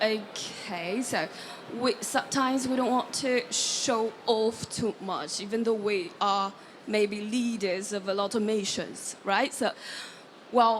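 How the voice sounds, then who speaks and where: A woman's fairly high voice, very slow and fairly even in intonation, over noticeable background noise. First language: not French (speaking French). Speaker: audience member, business analyst. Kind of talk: audience question at panel. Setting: conference stage with audience, handheld mic.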